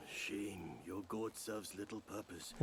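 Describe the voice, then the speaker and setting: A man uses a put-on character voice, fairly low and solemn in tone, at a moderate pace over clear background noise. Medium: video game. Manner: cryptic, solemn.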